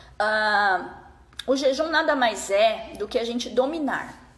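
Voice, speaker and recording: A woman speaks at a high pitch. Her pitch varies in an ordinary way, with noticeable background noise behind her. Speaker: fasting and nutrition consultant. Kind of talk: live stream talk. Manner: casual.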